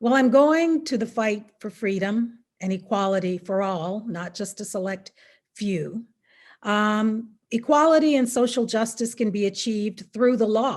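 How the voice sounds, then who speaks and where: A woman with an American accent talks at a fairly slow pace in a normal speaking voice, fairly high in pitch with ordinary pitch variation, against a quiet background. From US South, Mississippi. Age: 60s. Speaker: attorney. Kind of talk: prepared speech.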